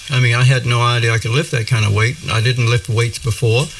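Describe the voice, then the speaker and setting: The speech moves at a fairly quick pace with noticeable background noise behind it. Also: man. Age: 60s. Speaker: breatharian spiritual teacher. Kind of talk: interview. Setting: studio. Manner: halting, many fillers.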